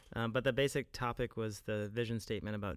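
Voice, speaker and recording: In a very clean recording with a silent background, a man with a normal speaking voice talks at a medium pitch with fairly even intonation. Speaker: co-host, English professor. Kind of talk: casual chat about faith. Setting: studio.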